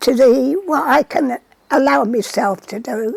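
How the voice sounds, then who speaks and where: Recorded dry and close with no echo, a woman speaks with a Lancashire accent at a high pitch. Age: 80s+. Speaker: centenarian poppy knitter. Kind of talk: interview. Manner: halting.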